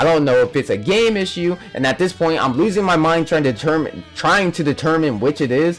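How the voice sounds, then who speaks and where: With music playing in the background, a man talks at a fairly quick pace. His voice is high-pitched with lively intonation. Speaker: gaming YouTuber. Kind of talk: rant video. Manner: fast.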